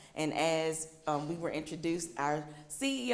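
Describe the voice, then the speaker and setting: Audible room echo surrounds a woman whose voice is fairly low in pitch. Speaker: nonprofit board member. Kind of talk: presentation to luncheon audience.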